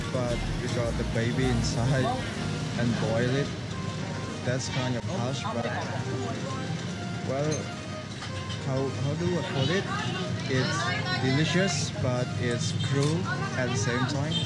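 Over loud background music, the speaker goes at a very slow pace with long, frequent pauses and ordinary pitch variation. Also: man. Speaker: travel vlogger. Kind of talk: casual vlog chat. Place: street. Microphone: phone near.

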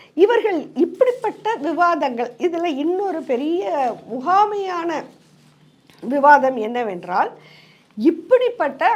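This woman speaks at a high pitch. Her pitch swings very widely. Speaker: political commentator. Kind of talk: political commentary monologue.

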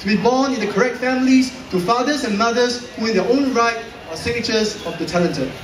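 A man with a high pitch speaks at a fairly quick pace, and noticeable background noise is audible. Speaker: slam poet. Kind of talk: slam poetry performance. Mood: wry, satirical. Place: hall.

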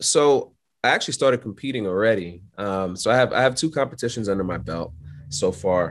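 Talking at a fairly quick pace, a man with an American accent uses a fairly low pitch and lively intonation. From New York City (Brooklyn). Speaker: aircraft maintenance instructor and pilot. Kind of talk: casual interview. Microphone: video call.

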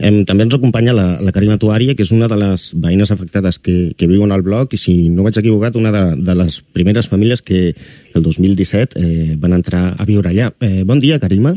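In a dry sound with no echo and a quiet background, a man speaks with a dark, mellow tone, fairly low pitch, very even loudness and hardly any pauses. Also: ordinary pitch variation, moderate pace. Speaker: radio presenter. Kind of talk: radio interview. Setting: studio. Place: studio.

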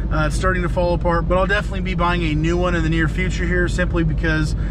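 A man in a dry sound with no echo, over noticeable background noise. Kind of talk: casual vlog chat. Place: car. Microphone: phone near.

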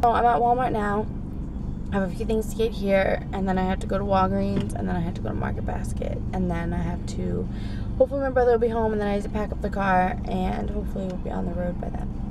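Very fast speech from a woman, with noticeable background noise. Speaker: parent vlogger. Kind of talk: casual vlog chat. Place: car. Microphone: phone near.

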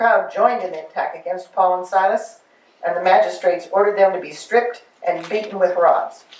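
The speech moves at a fairly quick pace. Room echo is audible. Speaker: class participant. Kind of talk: group discussion and scripture reading. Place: meeting room.

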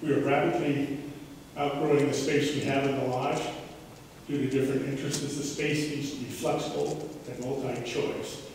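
Amid strong room echo and light background noise, a man speaks at a moderate pace in a monotone, flat intonation. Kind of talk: presentation to residents. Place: hall. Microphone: camera far.

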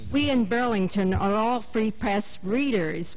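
A woman speaks over loud background noise. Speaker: citizen at public meeting. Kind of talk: audience question at public meeting. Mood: earnest, mildly indignant. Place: hall.

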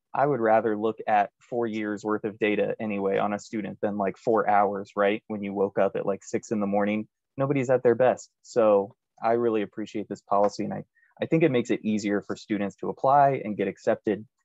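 Recorded with a dry sound, no echo and a quiet background, a man speaks at a fairly quick pace. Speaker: college admissions representative. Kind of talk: informational presentation. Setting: video call. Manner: joking, upbeat. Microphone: video call.

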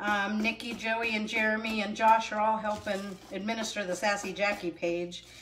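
A woman's medium-pitched voice with a fairly bright tone, a moderate pace, little pitch movement and audible room echo

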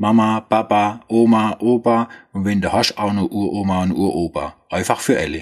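A man's fairly low voice with a Swabian accent, on a very clean recording with a silent background. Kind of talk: product explainer in dialect. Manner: humorous, casual.

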